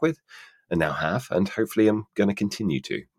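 A man speaks in a British accent with very wide pitch swings and vocal fry. The sound is dry and close, with no echo. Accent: British, natural. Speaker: voice actor. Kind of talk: casual interview chat.

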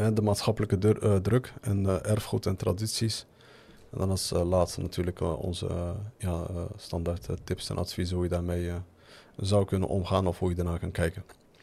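A man talks at a moderate pace in a very deep, low voice that is dark, mellow and somewhat breathy, with fairly even intonation. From Netherlands, Moroccan family. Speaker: podcast host. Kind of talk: casual chat. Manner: halting.

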